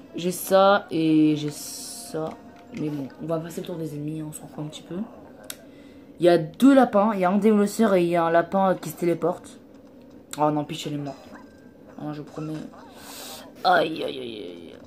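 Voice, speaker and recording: A woman speaks at a moderate pace with fairly low pitch and ordinary pitch variation. Her loudness swings widely, and she takes long, frequent pauses. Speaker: gaming YouTuber. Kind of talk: let's play commentary. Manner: animated.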